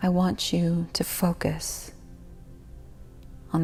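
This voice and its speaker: Music plays behind a woman's voice. She speaks at a very slow pace. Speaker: guided meditation host. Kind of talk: guided meditation. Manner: soothing, whispery.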